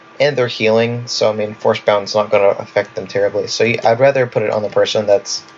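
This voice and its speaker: Over noticeable background noise, a man with a medium pitch talks at a fairly quick pace and with fairly even intonation. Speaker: gaming video creator. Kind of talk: tutorial. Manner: casual, filler-heavy.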